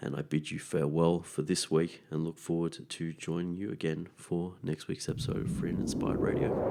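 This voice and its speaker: This man's voice sits at a very deep, low pitch with a dark, mellow tone and hardly any pauses. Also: ordinary pitch variation, fairly quick pace. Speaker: natural medicine podcast host. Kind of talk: podcast monologue.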